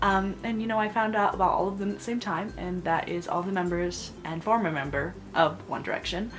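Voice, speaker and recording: A woman speaks quietly at a fairly quick pace, medium in pitch with ordinary pitch variation and an animated tone. Audible room echo and noticeable background noise surround her. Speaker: book vlogger. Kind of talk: casual vlog monologue. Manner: gushing, animated.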